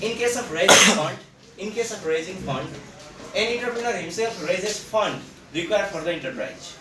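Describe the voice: A man's bright, sharp tone, lively intonation, and audible room echo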